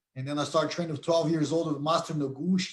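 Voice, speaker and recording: A man with a Brazilian Portuguese accent talks in a fairly high, somewhat breathy voice with monotone, flat intonation. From Brazil, Curitiba. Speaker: MMA conditioning coach and sports science professor. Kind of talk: live stream interview. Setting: live stream.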